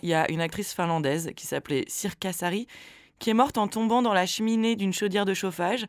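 A woman speaking at a fairly quick pace with lively intonation. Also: very clean recording, silent background. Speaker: podcast co-host. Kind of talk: casual chat with scripted segments.

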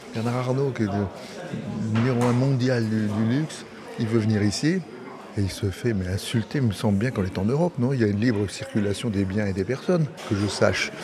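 With noticeable background noise behind him, a man at a medium pitch speaks at a fairly quick pace and with ordinary pitch variation. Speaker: auctioneer. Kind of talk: interview.

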